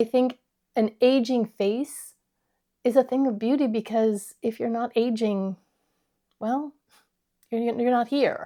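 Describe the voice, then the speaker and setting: A woman's fairly high voice with a dark, mellow tone, monotone and flat, at a fairly slow pace with long, frequent pauses. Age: 60s. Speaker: beauty YouTuber. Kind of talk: casual talk to camera.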